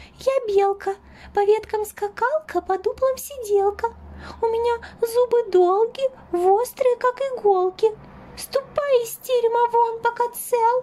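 In a put-on character voice, a female-sounding voice speaks at a moderate pace with an extremely high pitch and long, frequent pauses. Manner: lively, boastful.

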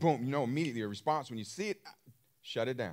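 This man speaks with lively intonation. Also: quiet background. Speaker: preacher. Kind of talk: sermon.

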